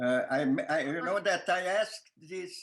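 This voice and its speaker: A man speaks with a strong Lithuanian accent. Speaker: filmmaker. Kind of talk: interview answer. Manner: hesitant, many fillers.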